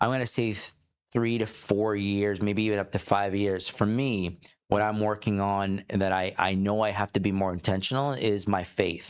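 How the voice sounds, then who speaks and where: Moderately paced and fairly low in pitch, a man with an unremarkable speaking voice keeps his intonation fairly even on a very clean recording with a silent background. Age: 40s. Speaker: entrepreneur. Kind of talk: casual podcast conversation.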